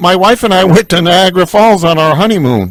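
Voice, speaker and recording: A man with a high voice speaks at a fairly quick pace. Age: 70s. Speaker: radio host. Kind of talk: radio interview over phone call.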